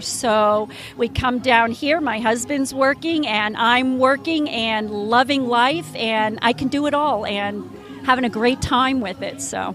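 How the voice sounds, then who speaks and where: At a fairly slow pace, a woman with an American accent speaks in a high pitch with ordinary pitch variation. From New Jersey. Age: 60s. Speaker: homeopathic wellness practitioner. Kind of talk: casual interview. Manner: hesitant, many fillers.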